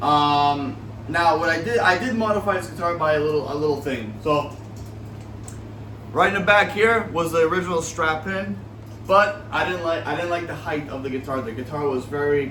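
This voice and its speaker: Talking at a moderate pace with a fairly high pitch, a man is heard through audible room echo and noticeable background noise. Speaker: guitar hobbyist YouTuber. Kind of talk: casual show-and-tell video. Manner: halting, many fillers.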